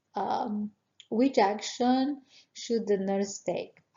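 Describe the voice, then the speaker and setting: A woman speaks at a very slow pace with a non-native accent. Her intonation is fairly even. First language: not English. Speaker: nurse educator. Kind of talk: exam review tutorial. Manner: halting, many fillers.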